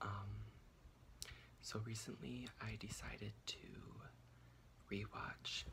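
A man whispers. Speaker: ASMR creator. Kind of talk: casual ramble recap talk to camera. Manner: whispered, soft-spoken. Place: home room. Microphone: phone near.

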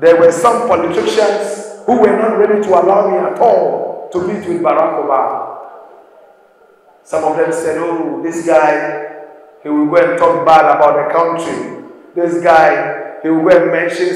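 Fairly even intonation at a fairly slow pace, with strong room echo. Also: man. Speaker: speaker. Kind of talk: motivational speech to students. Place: hall.

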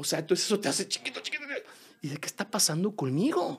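A man with a Mexican accent. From Mexico. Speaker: musical theatre singer and actor; podcast guest, stage actor. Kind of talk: casual interview; interview answer. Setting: studio. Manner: halting, repeats words. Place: studio. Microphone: studio mic.

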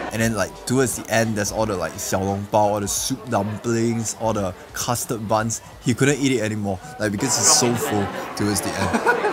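At a moderate pace, the speech carries on over clear music in the background. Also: man. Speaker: food vlogger. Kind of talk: casual vlog chat. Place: cafe.

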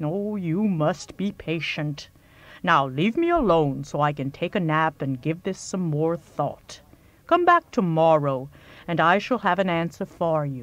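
A female-sounding, put-on character voice rumbles at a middle pitch and a fairly slow pace. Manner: laid-back, folksy.

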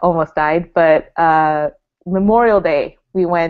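The background is quiet. A woman talks with a fairly low pitch. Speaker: podcast guest. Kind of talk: casual podcast chat. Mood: cheerful, laughing. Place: home room. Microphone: earbuds.

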